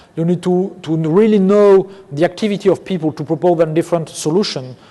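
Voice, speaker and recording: Over noticeable background noise, a man talks at a fairly quick pace. His pitch is high. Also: fairly even intonation. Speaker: company CEO. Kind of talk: conference Q&A. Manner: fast.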